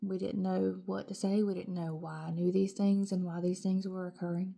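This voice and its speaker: A woman with an American accent speaks at medium pitch and a moderate pace, her dark, mellow tone held in monotone, flat intonation. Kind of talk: testimony.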